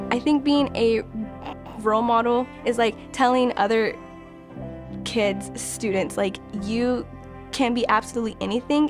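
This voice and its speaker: Over music in the background, a woman speaks at a fairly slow pace with long, frequent pauses and very even loudness. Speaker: student teacher. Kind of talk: interview answer.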